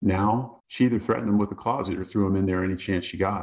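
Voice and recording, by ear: Read aloud in a natural voice, the passage keeps a fairly even intonation.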